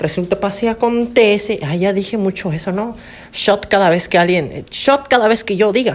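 With a slight Yucatecan accent, a woman speaks at a moderate pace. Her medium-pitched voice has ordinary pitch variation. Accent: picking up Yucatecan accent, slight. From Campeche, Mexico. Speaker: podcaster. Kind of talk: casual storytelling monologue. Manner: casual, slangy.

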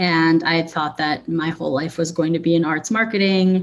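With an American accent, a woman speaks in a normal speaking voice at a fairly low pitch and moderate pace, with ordinary pitch variation. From Chicago suburbs, US Midwest. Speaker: clothing brand founder. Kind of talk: casual interview.

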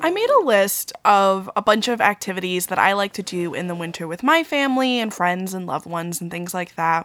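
With an American accent, this is a plain, everyday voice moving at a fairly quick pace with hardly any pauses and ordinary pitch variation. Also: woman, medium pitch for a woman. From Long Island, New York. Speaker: podcast host. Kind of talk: solo podcast monologue. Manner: casual, conversational.

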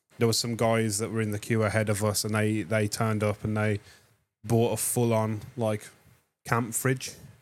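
A man with an English accent speaks at a fairly low pitch and a moderate pace. His intonation is monotone and flat, and the recording is very clean with a silent background. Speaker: music podcast co-host. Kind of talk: casual chat. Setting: studio.

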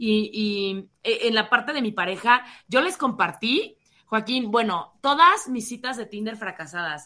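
Her tone is bright and sharp, with lively intonation and big swings in loudness. The woman is recorded against a quiet background. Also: fairly high pitch for a woman, fairly slow pace. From Mexico. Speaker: radio host and social media influencer. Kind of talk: interview.

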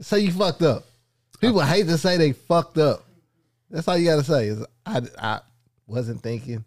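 The pitch swings very widely at a moderate pace. Long, frequent pauses break up the speech. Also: man, fairly high pitch for a man. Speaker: podcast co-host. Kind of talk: casual chat.

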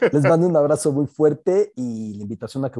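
A man's fairly high-pitched voice with a dark, mellow tone, at a moderate pace, dry and close with no echo. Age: 40s. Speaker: sports journalist and book prologue writer. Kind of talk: casual chat.

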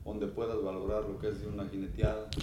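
Noticeable background noise runs under the speech. Audible room echo surrounds the voice. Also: man. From Mexico, Jalisco (small town south of Guadalajara). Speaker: charreria judge. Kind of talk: casual interview chat.

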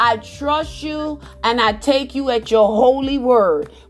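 With music in the background, a woman speaks in an animated tone at a high pitch with ordinary pitch variation. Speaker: preacher. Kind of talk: sermon. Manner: loud, exuberant and rhythmic, repeating phrases for emphasis with bursts of laughter.

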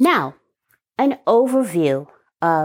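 This woman speaks with an American accent at a medium pitch. Her pitch swings very widely. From New York. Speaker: podcast host and business coach. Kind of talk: podcast monologue.

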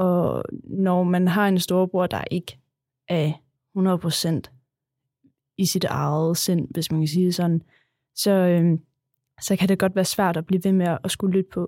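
On a very clean recording with a silent background, a dark, mellow tone comes through at a very slow pace with monotone, flat intonation. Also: woman, fairly low pitch for a woman. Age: 20s. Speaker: special school worker. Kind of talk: interview. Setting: studio.

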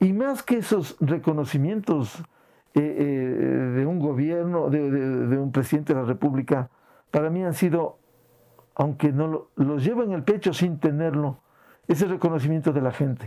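A man's voice is fairly high in pitch. His tone is dark and mellow. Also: ordinary pitch variation. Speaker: veteran journalist. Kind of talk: interview. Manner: halting.

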